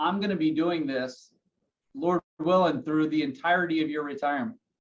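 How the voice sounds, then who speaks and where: The speaker is a man. His pitch is high. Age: 30s. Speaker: financial advisor. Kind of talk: podcast interview.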